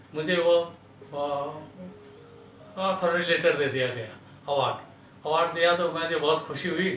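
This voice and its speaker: Noticeable noise runs in the background. The room adds an audible echo. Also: man. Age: 70s. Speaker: retired army veteran. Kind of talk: personal life story interview. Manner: halting, with filler sounds.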